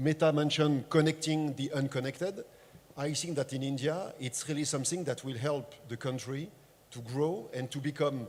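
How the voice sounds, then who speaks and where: With a French accent, a man speaks at a moderate pace in a somewhat breathy, fairly high pitch and fairly even intonation. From France. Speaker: tech industry panelist. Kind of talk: panel discussion.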